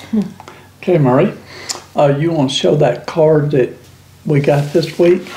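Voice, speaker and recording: A man talks with a Southern US accent. His pace is moderate, broken by long, frequent pauses. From US South. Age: 70s. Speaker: YouTube channel host. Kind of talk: casual chat. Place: kitchen.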